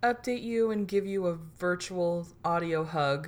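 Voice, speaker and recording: A woman with a fairly low pitch talks at a fairly slow pace, her intonation lively. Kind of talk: casual chat, comedic storytelling about an infomercial game night. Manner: animated, laughing, gleefully riffing.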